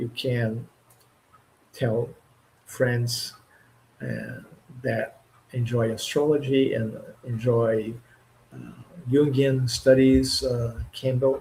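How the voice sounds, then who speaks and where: A somewhat breathy voice with a dark, mellow tone and a Portuguese accent moves at a very slow pace with monotone, flat intonation. Loudness swings widely, and long pauses come often. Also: man, medium pitch for a man. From Brazil. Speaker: astrologer. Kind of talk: live stream talk. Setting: live stream. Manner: halting.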